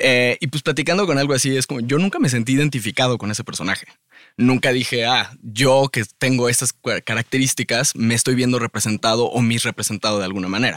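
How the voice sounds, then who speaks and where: Very fast and at medium pitch with ordinary pitch variation, a man's voice comes through a very clean recording with a silent background and a dry, close sound with no echo. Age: 30s. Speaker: musician. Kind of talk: casual chat. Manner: halting.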